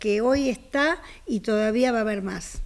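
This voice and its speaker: Over a quiet background, a woman speaks at a high pitch with ordinary pitch variation. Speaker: co-owner of the auction house. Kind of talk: promotional interview. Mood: calm, informative. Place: home room. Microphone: handheld.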